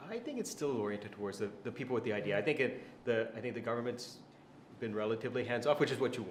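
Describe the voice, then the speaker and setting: A man with an American accent talks at a very fast pace and medium pitch, his intonation fairly even. Room echo is audible. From USA. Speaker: venture capital investor. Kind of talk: interview.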